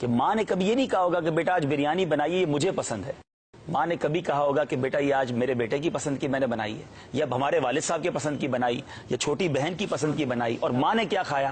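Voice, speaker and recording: Ordinary pitch variation at a moderate pace, in a plain, everyday voice. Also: man, fairly high pitch for a man. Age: 40s. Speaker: Islamic speaker. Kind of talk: religious sermon.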